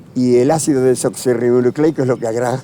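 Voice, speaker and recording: Over noticeable background noise, the speech runs at a fairly quick pace with fairly even intonation. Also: man. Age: 80s+. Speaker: actor. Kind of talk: interview. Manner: halting.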